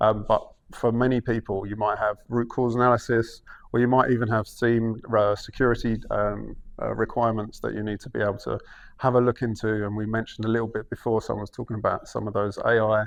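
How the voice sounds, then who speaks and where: Over a quiet background, a man with a Cockney accent speaks at a very fast pace in a medium pitch, his intonation flat and monotone. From London, England. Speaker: cloud engineering manager. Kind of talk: conference talk. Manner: hesitant fillers.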